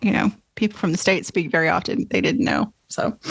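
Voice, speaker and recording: Speaking at a fairly quick pace with a slight Southern US accent, a woman uses a medium pitch, ordinary pitch variation, and a somewhat breathy voice. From US South. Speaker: podcast host and author. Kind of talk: casual interview chat.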